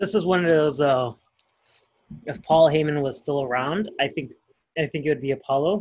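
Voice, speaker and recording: A somewhat breathy man at a fairly high pitch, moderate in pace, with long, frequent pauses. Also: ordinary pitch variation. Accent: American. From Chicago. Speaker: wrestling podcast co-host. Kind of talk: casual chat.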